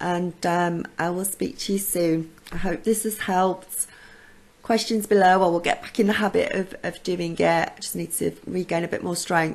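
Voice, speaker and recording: A husky-voiced woman at a moderate pace, with fairly even intonation. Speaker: psychic channel host. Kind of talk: casual Q&A talk to camera. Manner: hesitant, many ums.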